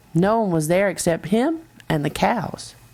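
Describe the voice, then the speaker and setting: A woman talks with lively intonation. The recording is very clean and the background silent. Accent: Texas. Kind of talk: children's story read-aloud.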